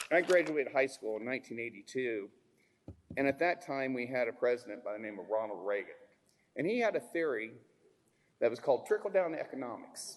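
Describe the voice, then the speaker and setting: A normal speaking voice from a man, medium in pitch, with lively intonation at a fairly quick pace. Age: 60s. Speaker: member of the public giving testimony. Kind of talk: public testimony. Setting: public hearing in a school.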